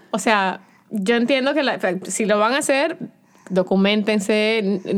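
A fairly high-pitched woman at a fairly slow pace, with long, frequent pauses, very even loudness, ordinary pitch variation and noticeable background noise. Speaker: podcast host. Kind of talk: casual interview. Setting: studio.

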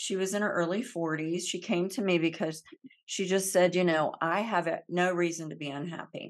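Talking at a moderate pace, a woman with a normal speaking voice and a fairly low pitch keeps a fairly even intonation. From US South, Central Florida. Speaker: emotional healing educator. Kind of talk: interview.

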